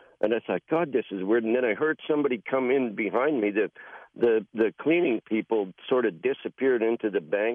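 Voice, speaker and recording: Moderate pace and medium pitch from a man with a plain, everyday voice, its pitch varying in an ordinary way. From British Columbia, Canada. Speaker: caller. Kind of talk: storytelling. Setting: phone call.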